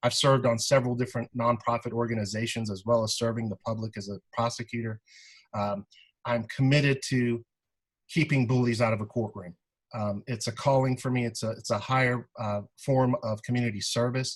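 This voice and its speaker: Somewhat breathy, a man talks at a fairly quick pace in a monotone, flat intonation. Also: medium pitch for a man. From born in Iran, raised in South Carolina. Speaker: prosecutor and judicial candidate. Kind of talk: candidate forum statement. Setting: video call.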